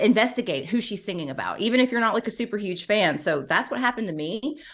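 Against a quiet background, a woman with a plain, everyday voice talks at a fairly quick pace in a medium pitch with lively intonation. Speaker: pop culture podcaster. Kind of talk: casual chat.

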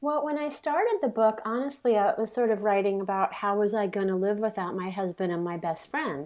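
A woman with an American accent speaks with hardly any pauses in an unremarkable speaking voice. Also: fairly high pitch for a woman, lively intonation, fairly quick pace. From US West Coast, San Francisco Bay Area. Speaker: memoir author. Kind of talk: interview conversation.

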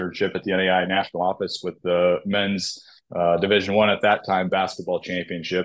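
A man with an American accent speaks in a very deep, low pitch. His intonation is flat and monotone. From US Midwest, Nebraska. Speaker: college athletics conference commissioner. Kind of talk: interview.

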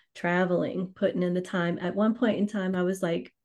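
Over a quiet background, a woman with a Louisiana accent talks at a fairly quick pace in a dark, mellow tone at medium pitch. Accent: Louisiana Southern US. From US South, Louisiana (New Orleans). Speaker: financial services trainer and course creator. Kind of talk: interview.

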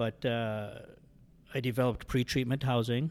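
A man with a Canadian accent and an unremarkable speaking voice talks at a moderate pace. His medium pitch holds fairly even intonation. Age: 50s. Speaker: addiction recovery housing director. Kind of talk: interview, personal testimony. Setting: studio.

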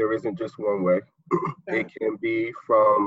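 A man speaks at a fairly slow pace. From Newark, New Jersey. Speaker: vice principal. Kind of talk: casual game show chat.

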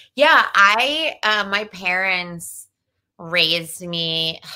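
With a New Jersey accent, a woman speaks at a medium pitch using lively intonation. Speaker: comedian. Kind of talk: casual chat. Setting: video call.

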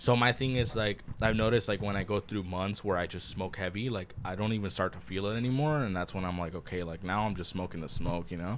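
A man with a Spanish accent talks at a very fast pace, barely pausing. His pitch is fairly low. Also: ordinary pitch variation. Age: 20s. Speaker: podcast co-host. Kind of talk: casual chat. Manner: animated.

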